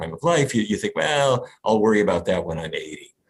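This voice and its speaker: There is vocal fry in this man's voice. He talks with an American accent. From US, North Dakota. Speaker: physician and nutrition researcher. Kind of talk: interview.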